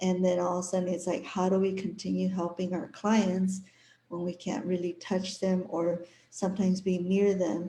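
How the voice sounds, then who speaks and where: A woman's somewhat breathy voice, dark and mellow in tone, with monotone, flat intonation. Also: medium pitch for a woman, moderate pace. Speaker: holistic wellness consultant and massage therapist. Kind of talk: live stream introduction. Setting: live online stream.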